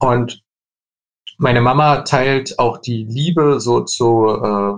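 A somewhat breathy man's voice at a medium pitch, with ordinary pitch variation. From Leipzig, eastern Germany. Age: 20s. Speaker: furniture designer. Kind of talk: interview.

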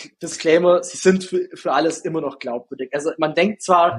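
At a fairly quick pace, a man talks with a slight Swabian accent. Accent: slight Swabian regional accent, rolled R. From Bavarian Swabia, Günzburg area. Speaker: ad agency founder, TikTok ads expert. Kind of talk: interview.

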